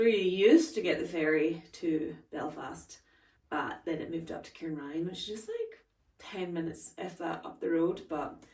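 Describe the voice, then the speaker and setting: Somewhat breathy and fairly low in pitch, a woman speaks at a moderate pace amid audible room echo. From Scotland, Stranraer (Galloway). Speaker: lifestyle vlogger. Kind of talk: casual vlog talk to camera. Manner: chatty, filler-heavy.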